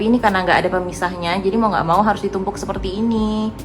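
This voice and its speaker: A woman talks at a very fast pace with music in the background. Audible room echo surrounds her voice. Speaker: home and lifestyle vlogger. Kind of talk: casual vlog tutorial. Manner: loud. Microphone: no microphone, camera audio.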